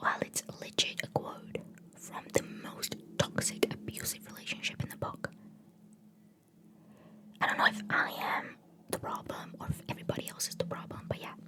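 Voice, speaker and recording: Through noticeable background noise, a woman can be heard whispering at a moderate pace. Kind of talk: ASMR book haul, casual talk to camera. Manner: whispered, rambling.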